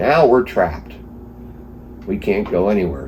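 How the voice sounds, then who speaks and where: A man's voice with very wide pitch swings at a fairly slow pace, against noticeable background noise. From East Stroudsburg, Pennsylvania. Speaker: flood survivor. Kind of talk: interview answer.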